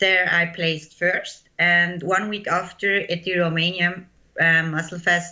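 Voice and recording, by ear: At a fairly slow pace, a woman speaks in a fairly low pitch with a bright, sharp tone and little pitch movement, with audible room echo.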